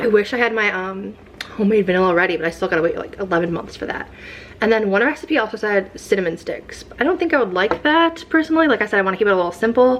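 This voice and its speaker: Over noticeable background noise, a woman speaks at a very fast pace with a fairly high pitch and very wide pitch swings. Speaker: vlogger. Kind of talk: casual vlog.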